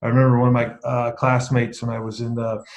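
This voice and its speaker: This man talks at a fairly quick pace with a medium pitch. His voice is somewhat breathy. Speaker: leadership speaker. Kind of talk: talk on self-awareness to an online group. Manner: hesitant, many fillers and repeats; deadpan irony.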